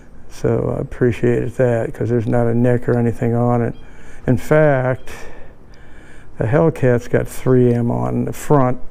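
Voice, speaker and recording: Speaking at a moderate pace with long, frequent pauses, a man uses a medium pitch, a dark, mellow tone and monotone, flat intonation. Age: 70s. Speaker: car enthusiast. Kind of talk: casual talk to camera. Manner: casual, hesitant.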